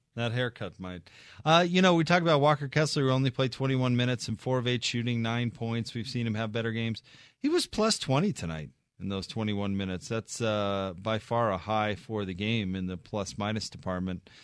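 An unremarkable speaking voice from a man of medium pitch, fairly quick, with lively intonation against a quiet background. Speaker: sports radio host. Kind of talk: live radio postgame show, announcer delivery. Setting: radio studio broadcast. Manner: polished, broadcast-clear, quick sign-offs and score recaps.

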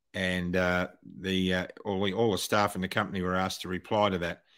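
The recording is very clean, with a silent background. The speaker goes at a fairly quick pace in an Australian accent. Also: man. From Australia, Wollongong (New South Wales). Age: 60s. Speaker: retired airline pilot. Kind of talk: interview. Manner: halting, repeats words.

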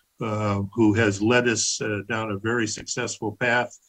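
The man's intonation stays monotone and flat. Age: 70s. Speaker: boot company executive. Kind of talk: radio interview.

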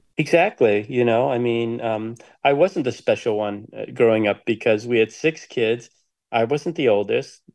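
A man with an American accent, a normal speaking voice, medium pitch, ordinary pitch variation and moderate pace against a quiet background. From US Midwest, Detroit. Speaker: documentary filmmaker and writer. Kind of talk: interview.

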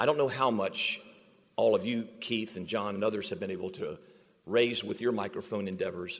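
An unremarkable speaking voice from a man at medium pitch, moving at a moderate pace with ordinary pitch variation. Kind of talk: heartfelt faith-tinged acceptance speech. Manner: warm, sincere, preacherly.

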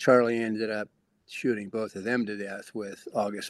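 A man's fairly low voice, an ordinary speaking voice. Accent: American. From Nebraska, US Midwest (Lincoln). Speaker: author. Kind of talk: radio interview.

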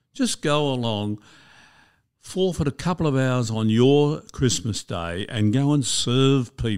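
A man with an Australian accent speaks at a fairly slow pace with lively intonation in a very clean recording with a silent background. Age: 70s. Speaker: retirement coach and former financial advisor. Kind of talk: interview.

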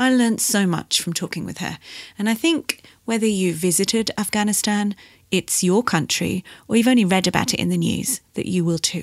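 Delivered at a fairly quick pace, a plain, everyday voice with ordinary pitch variation comes through dry and close, with no echo. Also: woman, medium pitch for a woman. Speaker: sustainable fashion journalist. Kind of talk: podcast hosting, interview.

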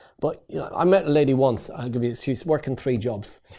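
A man with an Irish accent speaks at a very fast pace in a fairly high pitch. His tone is dark and mellow, with ordinary pitch variation. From Ireland. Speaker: property investor and trainer. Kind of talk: interview.

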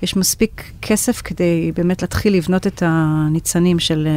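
A woman's fairly low voice, an unremarkable speaking voice, with ordinary pitch variation, very even loudness, a fairly slow pace and hardly any pauses. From United States. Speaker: venture capital partner. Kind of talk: interview. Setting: studio.

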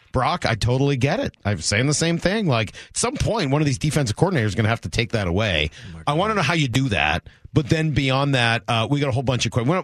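Very fast speech from a man at a medium pitch, with very wide pitch swings. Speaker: sports radio host. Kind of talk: sports radio discussion. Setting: studio.

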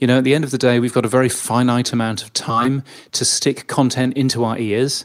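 A man with a British accent speaks at medium pitch with fairly even intonation. The recording is very clean, the background silent. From Britain. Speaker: radio and audio industry consultant. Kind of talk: interview.

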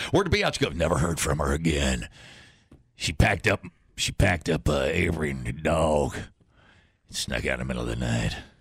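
A man puts on a raspy character voice pitched very deep and low. He speaks at a moderate pace with long, frequent pauses. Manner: put-on, funny.

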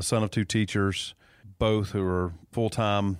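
A man speaks in a Georgia accent with flat, monotone intonation. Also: very clean recording, silent background. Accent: Southern American (Georgia). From US South, north Georgia (Dawsonville). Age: 40s. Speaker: state politician. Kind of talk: casual interview. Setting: high school music studio.

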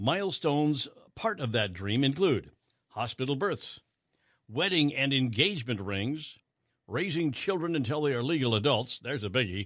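With an unremarkable speaking voice, a man speaks at a moderate pace with a fairly high pitch and lively intonation against a quiet background. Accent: American. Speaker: radio news host. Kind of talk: radio newscast reading headlines. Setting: radio studio broadcast.

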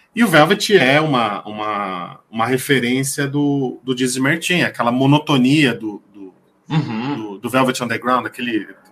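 Music plays in the background while a man speaks at a fairly slow pace. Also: big swings in loudness. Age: 40s. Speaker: music enthusiast, social media music commentator. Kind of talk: casual chat. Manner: halting, frequent repetitions.

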